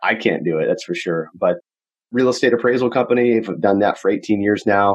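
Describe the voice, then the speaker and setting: A man talks in a plain, everyday voice. His pitch varies in an ordinary way. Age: 30s. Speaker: real estate investor. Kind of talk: interview. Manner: casual.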